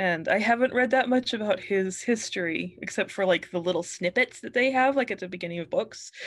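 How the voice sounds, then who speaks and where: A woman with an American accent speaks in a plain, everyday voice at medium pitch. She goes at a fairly quick pace with hardly any pauses and ordinary pitch variation. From New Mexico, US. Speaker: author. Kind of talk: casual interview.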